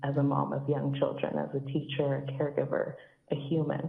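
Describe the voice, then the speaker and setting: A woman with a shaky voice is heard against audible room echo. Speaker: public commenter, mother and teacher. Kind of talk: public comment at council meeting. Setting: phone call.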